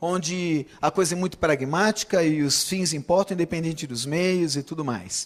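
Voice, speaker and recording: A man speaks at a high pitch. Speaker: preacher. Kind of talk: sermon.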